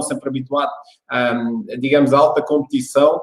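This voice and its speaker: A man speaks in an Algarve accent. His pace is fairly slow. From Algarve, southern Portugal. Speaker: fitness coach. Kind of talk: online workshop talk. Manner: calm, deliberately slow.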